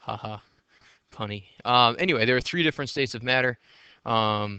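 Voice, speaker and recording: This man speaks fairly quickly at a medium pitch, with a bright, sharp tone. His pitch varies in an ordinary way against a quiet background. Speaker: high school physics teacher. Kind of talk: recorded lecture. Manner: fast; casual with many fillers.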